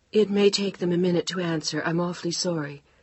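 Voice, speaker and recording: At a very fast pace, a woman uses a put-on character voice with a fairly low pitch and fairly even intonation. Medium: read story.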